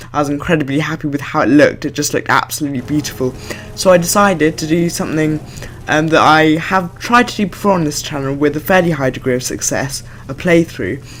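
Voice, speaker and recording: The man talks at a very fast pace in a fairly high pitch. His pitch varies in an ordinary way, and there is noticeable background noise. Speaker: gaming video creator. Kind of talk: gameplay commentary. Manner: hesitant, many fillers.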